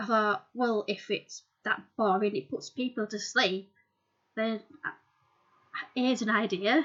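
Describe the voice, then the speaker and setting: A woman's fairly high voice in a strong Yorkshire accent, very slow, with long, frequent pauses and ordinary pitch variation. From Yorkshire, England. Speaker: amateur writer and YouTuber. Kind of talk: casual chat to camera. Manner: hesitant, many fillers.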